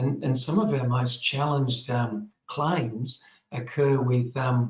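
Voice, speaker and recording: At a fairly slow pace, a man with an Australian accent talks at a medium pitch. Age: 60s. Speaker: general practitioner. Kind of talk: panel Q&A answer. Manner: halting, many repetitions and fillers.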